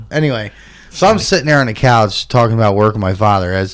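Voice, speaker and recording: A man speaks at a fairly low pitch. His pitch variation is ordinary. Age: 40s. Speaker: podcast host, predator hunter. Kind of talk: casual chat. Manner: animated.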